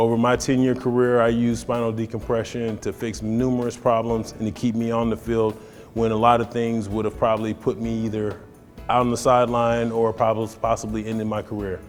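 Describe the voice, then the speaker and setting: Music in the background accompanies a man talking at a fairly quick pace and medium pitch, in a monotone, flat intonation. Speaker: former professional football player giving testimonial. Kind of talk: testimonial interview answer.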